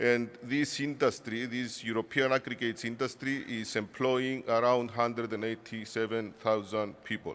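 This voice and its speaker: Speaking with a Cypriot accent at a moderate pace, a man of medium pitch keeps a monotone, flat delivery with hardly any pauses. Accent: Greek Cypriot accent in English. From Cyprus. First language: Greek. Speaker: industry association director. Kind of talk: conference speech. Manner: halting.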